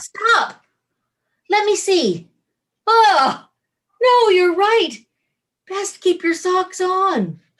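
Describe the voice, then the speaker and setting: Putting on a squeaky character voice at an extremely high pitch with ordinary pitch variation, a woman speaks at a very slow pace with long, frequent pauses. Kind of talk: comic overacting. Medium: stage play. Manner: coquettish, purring, giggly.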